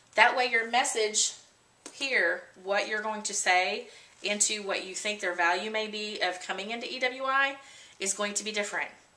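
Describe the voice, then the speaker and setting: A woman with a fairly high pitch talks at a moderate pace and ordinary pitch variation, her voice carrying audible room echo amid noticeable background noise. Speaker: trainer for association membership directors. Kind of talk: video tutorial.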